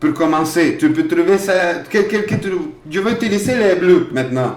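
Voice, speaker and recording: At a moderate pace, a man with a high pitch makes very wide pitch swings, heard with audible room echo and noticeable background noise. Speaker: workshop leader and primary school teacher. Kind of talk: children's craft workshop demonstration.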